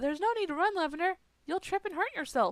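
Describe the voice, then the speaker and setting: A woman uses a put-on character voice, squeaky and extremely high in pitch, with lively intonation. She talks at a very fast pace, and the sound is dry and close with no echo. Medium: solo performance.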